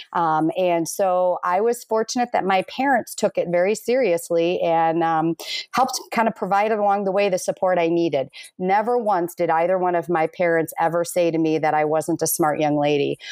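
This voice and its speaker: On a very clean recording with a silent background, a woman with a normal speaking voice and fairly low pitch talks at a moderate pace, with ordinary pitch variation and very even loudness. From US Midwest, Minnesota. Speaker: school administrator. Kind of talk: interview.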